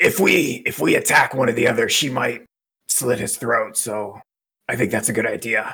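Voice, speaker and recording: Using a raspy, put-on character voice, a man speaks at a medium pitch and a moderate pace. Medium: actual play. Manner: calm, decisive, leading the plan.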